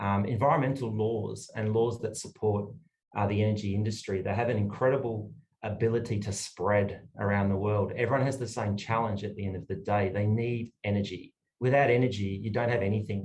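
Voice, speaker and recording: Audible room echo surrounds a man speaking in an Australian accent. His fairly low voice is somewhat breathy, with fairly even intonation. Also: fairly quick pace. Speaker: energy lawyer. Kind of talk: panel discussion.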